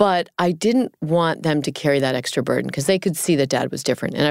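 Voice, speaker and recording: Vocal fry from a woman at a very fast pace with ordinary pitch variation, on a very clean recording with a silent background. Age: 50s. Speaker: caregiver and military family foundation founder. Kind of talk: interview conversation.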